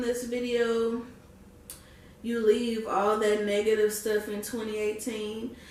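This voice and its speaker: A woman's fairly high, animated voice at a fairly slow pace, with audible room echo and noticeable background noise. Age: 20s. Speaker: vlogger. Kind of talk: casual talk to camera.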